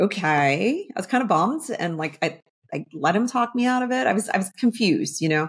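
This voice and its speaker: Somewhat breathy and fairly quick, a woman with an American accent moves through very wide pitch swings. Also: medium pitch for a woman. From northern New Jersey. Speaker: army veteran and business owner. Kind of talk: interview. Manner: casual, many fillers.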